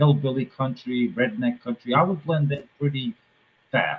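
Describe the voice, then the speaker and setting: A man with an American accent talks in a fairly high pitch with ordinary pitch variation. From New England, within an hour of Boston. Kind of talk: casual, conversational.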